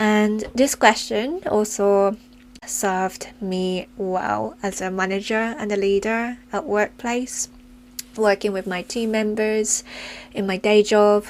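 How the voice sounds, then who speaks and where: Speaking at a very slow pace, a woman keeps a fairly high pitch and fairly even intonation. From Japan, left as a child for the UK. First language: Japanese. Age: 40s. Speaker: podcast host, yoga teacher and coach. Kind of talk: personal reflective monologue.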